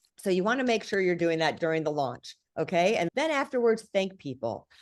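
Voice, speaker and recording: Against a quiet background, a woman with an American accent uses very wide pitch swings and vocal fry. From Michigan, US Midwest. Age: 60s. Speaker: book marketing expert. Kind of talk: online seminar presentation. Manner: animated.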